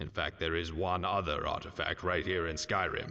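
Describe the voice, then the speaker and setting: A man uses a put-on character voice. His pitch is very deep and low. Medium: machinima. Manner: condescending, impatient.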